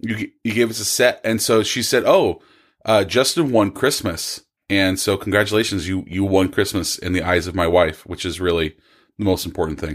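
A man with an American accent and a plain, everyday voice, at a moderate pace with ordinary pitch variation, on a very clean recording with a silent background. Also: fairly low pitch for a man. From California. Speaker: podcast guest. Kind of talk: casual chat.

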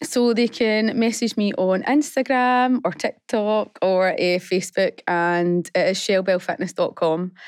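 A woman has an unremarkable speaking voice, fairly high in pitch with ordinary variation. She speaks with hardly any pauses and very even loudness on a very clean recording with a silent background. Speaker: fitness business founder. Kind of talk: radio interview. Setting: studio.

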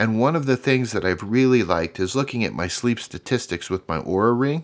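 A man with an unremarkable speaking voice at medium pitch and moderate pace, lively in intonation, on a very clean recording with a silent background. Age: 50s. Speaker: career podcast host. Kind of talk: solo podcast monologue, motivational. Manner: upbeat, encouraging.

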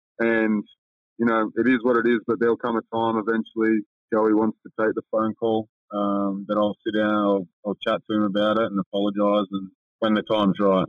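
A man talks in a monotone, flat way with an Australian accent. His pitch is fairly low and his pace moderate. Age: 30s. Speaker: professional basketball player. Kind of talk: casual interview chat.

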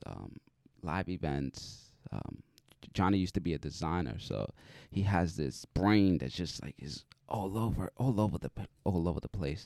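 A man speaks with a very deep, low pitch, vocal fry, and a dark, mellow tone. His intonation is lively, his pace moderate, and the sound dry and close with no echo. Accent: American. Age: 30s. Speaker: podcast host, deaf motivational speaker. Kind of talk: interview.

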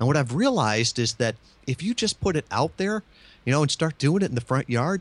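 A man with an American accent speaks at a fairly high pitch and a fairly quick pace, his pitch swinging very widely while his loudness stays very even. The sound is dry and close with no echo, over a quiet background. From Michigan. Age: 50s. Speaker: marketing consultant and podcast guest. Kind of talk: interview.

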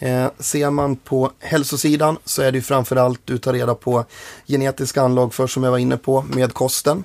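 A man speaks at a medium pitch and a moderate pace, with monotone, flat intonation and very even loudness. The sound is dry and close, without echo. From Sweden, Njurunda near Sundsvall (Medelpad). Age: 20s. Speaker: company co-founder, DNA testing. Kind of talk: podcast interview.

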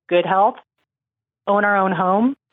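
A woman's medium-pitched voice with fairly even intonation and a dry, close sound with no echo

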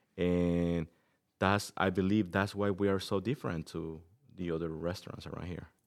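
Recorded very cleanly against a silent background, the speaker talks at a moderate pace with fairly even intonation, in a Mexican accent. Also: man, very deep, low pitch for a man. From Mexico City, Mexico. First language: Spanish. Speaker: restaurant owner. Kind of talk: interview. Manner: halting, many fillers.

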